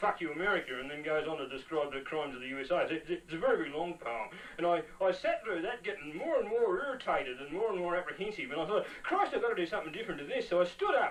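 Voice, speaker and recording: A high-pitched man with an Australian accent, lively intonation and a very fast pace, amid noticeable background noise. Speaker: performance poet. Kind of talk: storytelling interview. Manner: halting, many repetitions.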